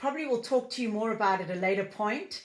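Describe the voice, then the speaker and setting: A woman speaks with a South African accent and ordinary pitch variation. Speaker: business founder and leadership coach. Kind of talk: interview podcast.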